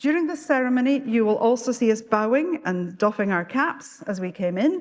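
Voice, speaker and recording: A woman speaks with a Scottish accent and a fairly high pitch. Her pace is fairly slow, with lively intonation. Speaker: university official presiding at graduation. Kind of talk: ceremonial address. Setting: graduation ceremony hall with audience. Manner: formal.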